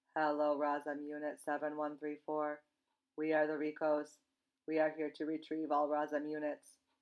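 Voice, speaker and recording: At a moderate pace and a middle pitch, a robotic, put-on character voice speaks with monotone, flat intonation. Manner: emotionless, mechanical.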